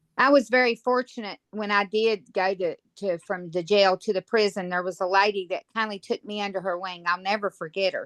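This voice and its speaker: Speaking with a Virginia accent, a woman keeps a fairly quick pace with hardly any pauses. Her medium-pitched voice has fairly even intonation and a dry, close sound with no echo. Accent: Southern US (Virginia). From Virginia, US South. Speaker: guest formerly incarcerated, on sex offender registry. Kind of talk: casual chat; testimony.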